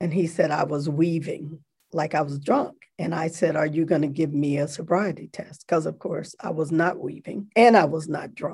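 A woman speaks in a very deep, low, somewhat breathy voice. Her pace is moderate and her intonation fairly even. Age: 60s. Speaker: theology professor and seminary dean. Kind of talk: interview. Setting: video call.

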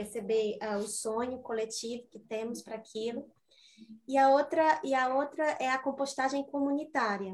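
A woman with a high pitch and ordinary pitch variation speaks at a moderate pace, her loudness swinging widely. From southern Brazil. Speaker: designer, community garden member. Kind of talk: radio interview.

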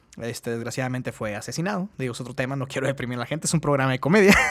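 A man's voice with lively intonation. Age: 30s. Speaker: podcast host. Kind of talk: casual chat.

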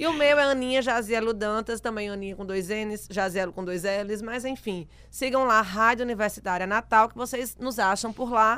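On a very clean recording with a silent background, a woman with a fairly high, bright, sharp voice talks at a moderate pace with hardly any pauses, ordinary pitch variation and big swings in loudness. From Rio Grande do Norte, Brazil. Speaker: radio podcast host. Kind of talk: casual chat.

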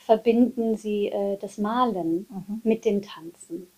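Pitched fairly high, a woman speaks at a very slow pace with ordinary pitch variation. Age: 40s. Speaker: dance and movement therapist. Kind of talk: casual chat.

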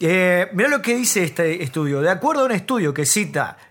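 A man's high-pitched voice. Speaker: comedy podcast co-host. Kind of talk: casual chat.

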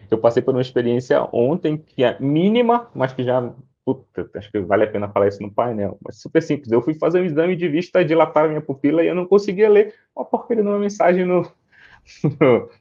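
A man's fairly high voice with very wide pitch swings, at a fairly quick pace. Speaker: tech executive, panel moderator. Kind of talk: panel moderation. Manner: casual.

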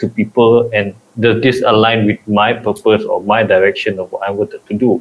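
Monotone, flat intonation from a man at medium pitch and a moderate pace. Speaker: podcast host. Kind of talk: casual chat. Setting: online recording call.

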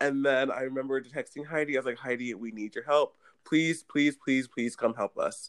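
A man's ordinary speaking voice at medium pitch, with fairly even intonation, recorded dry and close with no echo. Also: moderate pace. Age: young. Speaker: youth theater director. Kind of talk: casual chat.

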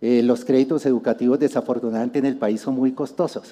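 The speaker is a man. He has a dark, mellow tone. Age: 60s. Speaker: church speaker. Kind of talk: sermon.

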